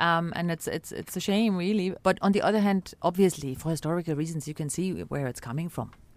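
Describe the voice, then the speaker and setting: In a German accent, a woman speaks at a fairly quick pace with a fairly low pitch and ordinary pitch variation, in a very clean recording with a silent background. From East Berlin, Germany. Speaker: ambassador. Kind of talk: interview. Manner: hesitant.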